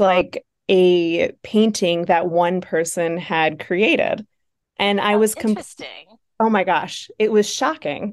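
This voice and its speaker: Over a quiet background, a woman with a Buffalo accent speaks at a very slow pace. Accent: Buffalo, Western New York. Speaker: nonprofit founder. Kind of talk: casual interview.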